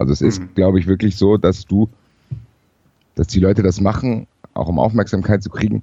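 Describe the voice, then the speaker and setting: A man speaks at a fairly low pitch with vocal fry. He leaves long, frequent pauses. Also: ordinary pitch variation, fairly quick pace. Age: 30s. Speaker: football podcaster. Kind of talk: casual discussion.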